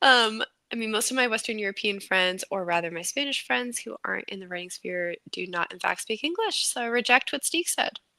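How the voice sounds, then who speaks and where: A woman with an American accent speaks at a fairly quick pace in a fairly high pitch, her tone bright and sharp with lively intonation. Her loudness swings widely, and the sound is dry and close with no echo. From United States. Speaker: writing livestream co-host. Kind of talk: casual chat.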